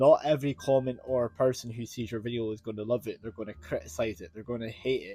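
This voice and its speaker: This man talks with a Scottish accent at a fairly quick clip, with medium pitch and ordinary variation in it. His tone is dark and mellow, and somewhat breathy. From Scotland. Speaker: YouTuber. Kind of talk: casual talk to camera. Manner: pauses for breath; mutters, mispronounces words.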